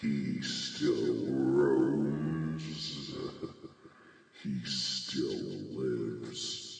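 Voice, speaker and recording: A man's put-on character voice at a very slow pace, with strong echo. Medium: role play.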